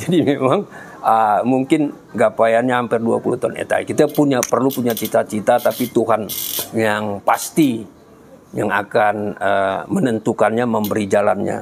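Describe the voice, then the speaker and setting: A man talks with ordinary pitch movement as noticeable noise runs underneath. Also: medium pitch for a man, moderate pace. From Medan, North Sumatra, Indonesia. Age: 60s. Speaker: cancer patient sharing experience. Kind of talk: testimony. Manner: halting, with frequent fillers.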